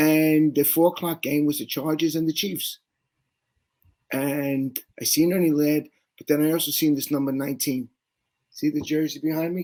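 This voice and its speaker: Speaking with a New York accent, a man with a dark, mellow tone and a fairly high pitch keeps a monotone, flat intonation at a moderate pace, with long, frequent pauses. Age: 60s. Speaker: sports fan guest. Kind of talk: interview storytelling.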